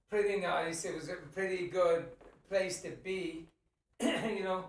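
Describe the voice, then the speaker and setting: Against audible room echo, a man with an American accent speaks at a high pitch and a fairly slow pace in a flat monotone. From Ireland. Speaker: podcast co-host. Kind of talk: casual chat.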